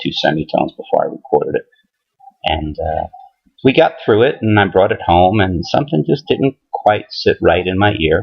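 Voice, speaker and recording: At a moderate pace, a man is speaking. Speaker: country singer-songwriter. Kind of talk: casual vlog talk. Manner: halting, many fillers.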